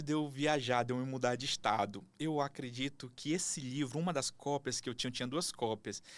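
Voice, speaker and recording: At a fairly quick pace, a man talks with hardly any pauses. His pitch is fairly high, and the recording is very clean with a silent background. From Manaus, Amazonas, northern Brazil. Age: 30s. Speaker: actor and engineer, podcast guest. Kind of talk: casual interview chat.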